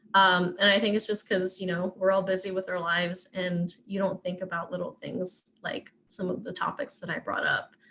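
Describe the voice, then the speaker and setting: A woman talks at a medium pitch with fairly even intonation. She leaves hardly any pauses. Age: 20s. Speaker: internet safety presenter. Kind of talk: webinar presentation. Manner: fast.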